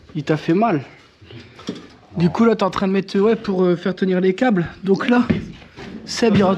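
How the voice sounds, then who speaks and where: Pitched high, a man talks at a fairly slow pace with ordinary pitch variation. He leaves long, frequent pauses. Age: 30s. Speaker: home renovation vlogger. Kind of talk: casual vlog narration.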